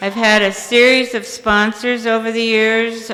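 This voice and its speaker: A woman with an American accent, a fairly slow pace, and noticeable background noise. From US Midwest, Indiana. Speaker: recovery speaker. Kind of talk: testimony. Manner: halting, with repetitions and fillers.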